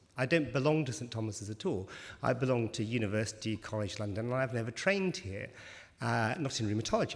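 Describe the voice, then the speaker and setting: A man talks at a very fast pace. There is audible echo in the room. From West Country (Bristol), England. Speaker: doctor, rheumatology researcher. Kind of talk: conference talk to patients. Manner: conversational, informal.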